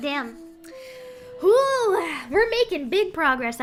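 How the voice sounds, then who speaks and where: Using a put-on character voice, a woman speaks at an extremely high pitch and a very slow pace, making very wide pitch swings over clear background noise. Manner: playful, cute.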